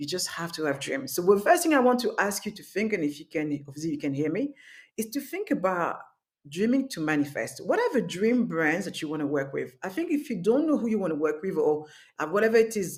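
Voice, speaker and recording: This speaker has a French accent, talks at a fairly quick pace and swings very widely in pitch. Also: woman, medium pitch for a woman. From France, Paris. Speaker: masterclass instructor, business owner. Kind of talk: online workshop.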